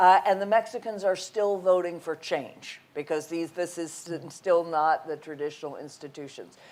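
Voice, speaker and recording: In an ordinary speaking voice, a woman with an American accent speaks at a moderate pace and fairly low pitch, with ordinary pitch variation, big swings in loudness and hardly any pauses. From United States. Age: 60s. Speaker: think tank head. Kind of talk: conference interview.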